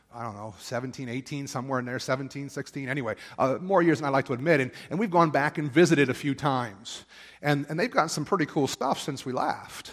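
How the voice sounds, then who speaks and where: In a normal speaking voice with an American accent, a man talks at a moderate pace and a fairly high pitch, with ordinary pitch variation. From Pennsylvania, Perry County (rural). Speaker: pastor. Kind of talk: sermon. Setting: church.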